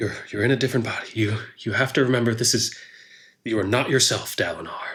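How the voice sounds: A man performs a put-on character voice. He talks at a very fast pace. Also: medium pitch for a man.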